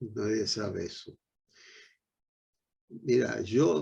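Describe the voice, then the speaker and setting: A man's fairly low-pitched voice comes across dark, mellow and somewhat breathy. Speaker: veteran politician. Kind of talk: panel discussion.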